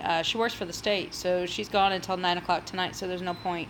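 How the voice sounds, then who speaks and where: A woman with an American accent, medium pitch and moderate pace. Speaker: cooking YouTuber. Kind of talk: casual livestream chat. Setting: home livestream, sitting in a chair.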